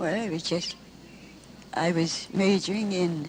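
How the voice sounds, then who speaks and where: A fairly slow delivery in a Midwestern US accent, with noticeable background noise. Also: woman. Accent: old-fashioned US Midwestern. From Michigan, Lansing. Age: 80s+. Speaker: elderly witness recounting family history. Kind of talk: interview.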